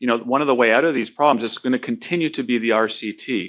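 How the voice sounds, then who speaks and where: An ordinary speaking voice from a man at a medium pitch, in a Canadian accent, fairly quick and with fairly even intonation, against a quiet background. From Canada. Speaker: health services researcher. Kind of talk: panel discussion.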